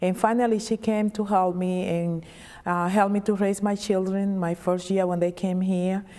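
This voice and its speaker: In a Dominican accent, a woman speaks at a medium pitch and a moderate pace, her tone dark and mellow. Her intonation is monotone and flat, on a very clean recording with a silent background. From Dominican Republic. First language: Spanish. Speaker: state legislator. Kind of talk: interview.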